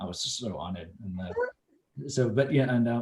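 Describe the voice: Talking at a fast pace, a man has a dark, mellow tone.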